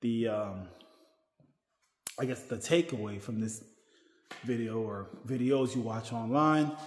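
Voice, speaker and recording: A man talks at a very slow pace with ordinary pitch variation. The room echo is audible. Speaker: vlogger. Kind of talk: casual vlog chat. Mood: reassuring, relaxed. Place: gym. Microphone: phone near.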